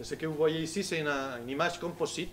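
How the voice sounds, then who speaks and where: Speaking with a Spanish accent at a moderate pace, a man is heard with audible room echo. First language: Spanish (speaking French). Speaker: solar physicist. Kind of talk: public lecture. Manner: halting, many hesitations.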